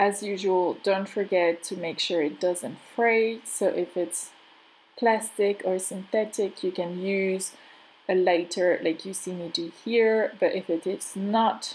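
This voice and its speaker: A woman speaks with a French accent at a very slow pace. Her pitch is medium and her intonation fairly even. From France. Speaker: crafter and craft channel host. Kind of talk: tutorial. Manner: halting.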